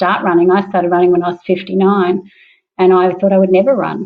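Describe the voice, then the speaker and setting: A woman speaks with an Australian accent. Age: 60s. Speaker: parkrun participant. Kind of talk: interview testimony.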